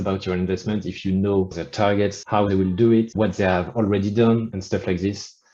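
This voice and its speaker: Speaking at a moderate pace with a French accent, a man has a fairly low, dark, mellow tone and fairly even intonation. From France. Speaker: author. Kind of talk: interview.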